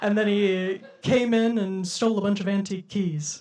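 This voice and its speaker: Noticeable background noise runs under the clip. A woman speaks at a medium pitch. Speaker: comedian. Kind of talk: stand-up comedy. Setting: live comedy venue.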